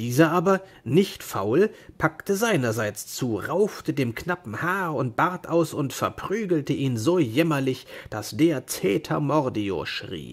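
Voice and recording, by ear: This man talks slowly with few pauses, his medium-pitched voice carrying a slightly husky edge and big swings in pitch.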